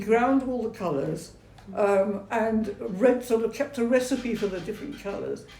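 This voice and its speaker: Noticeable background noise accompanies a woman with a fairly high pitch. She talks at a moderate pace with ordinary pitch variation. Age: 80s+. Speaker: retired architect and church site manager. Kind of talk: interview answer. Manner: hesitant, conversational.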